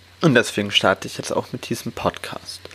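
Background noise is noticeable here. A man is the one talking. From Hamburg, northern Germany. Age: 20s. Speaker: podcast host and coach. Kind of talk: podcast intro monologue.

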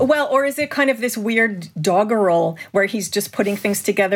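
With a Canadian accent, a woman talks in a plain, everyday voice at a medium pitch with ordinary pitch variation, on a very clean recording with a silent background. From Canada. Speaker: film historian and cultural critic. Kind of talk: casual discussion.

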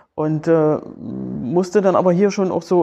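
The speaker is a woman with a fairly low pitch. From East Germany (Berlin). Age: 50s. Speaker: former footballer and football official. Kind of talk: interview. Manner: halting, many fillers and repetitions.

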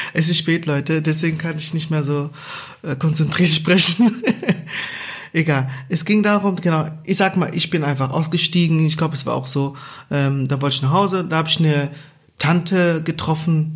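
A man's fairly high voice with fairly even intonation, long, frequent pauses, and noticeable background noise. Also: moderate pace. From Angola. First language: Portuguese (speaking German). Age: 30s. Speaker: podcast co-host. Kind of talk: casual chat.

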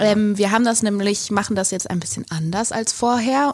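This is a woman's voice. Her pitch is medium. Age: 20s. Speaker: podcast co-host, actress. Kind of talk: casual chat.

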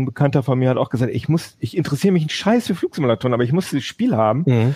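A man's fairly high voice carries a dark, mellow tone. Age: 30s. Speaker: tech podcast host. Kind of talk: casual chat. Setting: home office video call. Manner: hesitant, many fillers.

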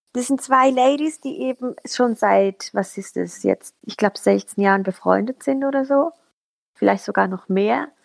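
A woman's loudness swings widely from moment to moment. The sound is dry and close, with no echo. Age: 30s. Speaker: local politician and social media manager. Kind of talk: casual chat.

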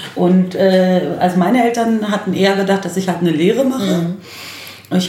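A woman speaks at a medium pitch with ordinary pitch variation and a fairly quick pace. Audible room echo and noticeable background noise surround her voice. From Berlin-Neukölln, Germany. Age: 40s. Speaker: lawyer and lecturer. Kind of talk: casual chat. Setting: home kitchen.

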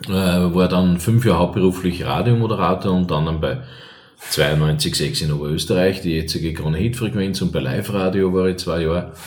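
A man with a very deep, low pitch speaks at a moderate pace with ordinary pitch variation. Noticeable background noise and audible room echo fill the recording. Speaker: cabaret artist and former radio host. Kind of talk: casual interview.

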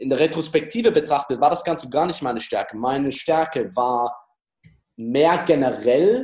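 At a fairly slow pace, a man with a plain, everyday voice and fairly high pitch speaks with lively intonation. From Austria, Styria. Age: 20s. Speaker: dating coach. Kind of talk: interview.

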